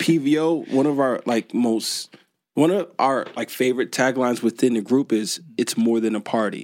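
In an American accent, the speaker talks at a moderate pace with ordinary pitch variation, a dry, close sound with no echo, and a very clean recording with a silent background. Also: man, medium pitch for a man. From New York / Newark area. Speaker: event promoter. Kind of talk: casual chat.

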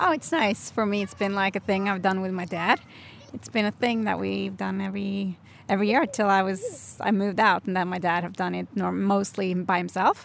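A woman speaks at a moderate pace with a Norwegian accent. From Norway. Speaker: co-host. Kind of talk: casual chat. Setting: at home by the fire.

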